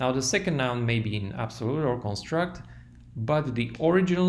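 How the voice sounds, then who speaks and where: A man speaks with a non-native accent and lively intonation. Audible room echo surrounds his voice. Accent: foreign accent in English. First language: not English. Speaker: language teacher. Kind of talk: tutorial.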